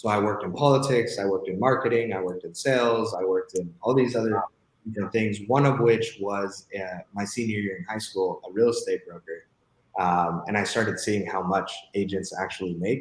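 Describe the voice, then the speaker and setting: This man has a Spanish accent and a fairly low pitch. He speaks at a fairly quick pace with ordinary pitch variation. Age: 20s. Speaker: real estate entrepreneur. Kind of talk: podcast interview.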